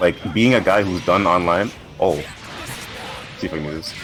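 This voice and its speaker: Over music in the background, a man with a very deep, low pitch talks at a fairly quick pace. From Canada. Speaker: fighting game player. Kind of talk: casual chat.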